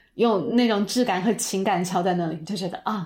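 In a very clean recording with a silent background, an ordinary speaking voice moves at a moderate pace with ordinary pitch variation. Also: woman. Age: middle-aged. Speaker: personal growth coach and content creator. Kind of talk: casual interview.

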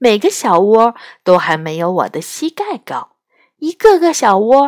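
Over a quiet background, the speaker is reading aloud in a natural voice.

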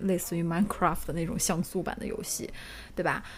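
A woman at medium pitch with ordinary pitch variation, over noticeable background noise. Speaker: podcast co-host. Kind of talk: casual chat. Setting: studio live stream.

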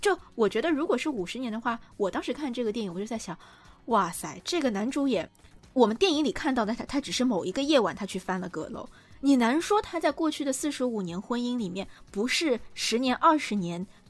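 A woman speaks at a high pitch and a fairly quick pace. Her voice makes very wide pitch swings. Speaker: podcast host, journalist and film writer. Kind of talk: casual chat about films.

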